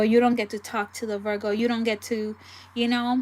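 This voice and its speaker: This is a woman speaking at a fairly high pitch. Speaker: tarot reader. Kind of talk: live tarot reading. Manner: casual, chatty.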